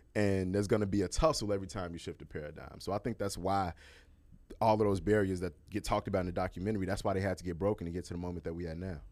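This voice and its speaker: A man with an American accent talks at a very fast pace in a very deep, low voice with fairly even intonation. The recording is very clean with a silent background. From Chicago, US Midwest. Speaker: entertainment journalist and TV host. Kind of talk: casual chat.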